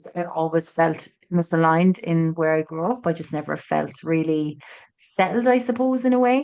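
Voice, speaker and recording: The voice carries an Irish accent. Its pace is moderate. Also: woman, fairly low pitch for a woman, lively intonation. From Ireland, Tralee, County Kerry. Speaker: author and agency owner. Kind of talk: podcast interview. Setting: in person in studio.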